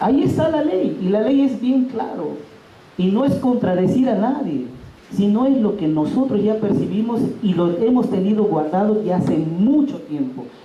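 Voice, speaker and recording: A man speaks loudly at a high pitch and a moderate pace, with very wide pitch swings. Audible room echo and noticeable background noise surround him. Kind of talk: workshop talk. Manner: loud, emphatic.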